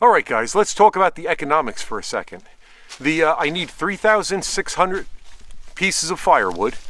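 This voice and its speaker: A man's fairly high voice with vocal fry and a bright, sharp tone. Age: 60s. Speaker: outdoor how-to video maker. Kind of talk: outdoor tutorial. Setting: outdoors in the woods. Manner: casual.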